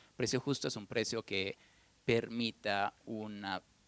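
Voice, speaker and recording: Recorded very cleanly over a silent background, a man talks at a medium pitch with fairly even intonation. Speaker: furniture brand director, economist. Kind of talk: panel talk. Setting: stage with audience at museum event. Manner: soft-spoken.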